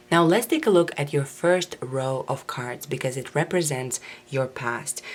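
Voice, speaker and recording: Amid noticeable background noise, a woman speaks with a very deep, low pitch. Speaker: tarot reader. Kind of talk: tarot reading.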